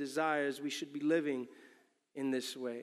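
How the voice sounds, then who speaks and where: Heard in a very clean recording with a silent background, a man with an ordinary speaking voice speaks at a moderate pace. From New York City. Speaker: pastor. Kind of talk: sermon. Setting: church.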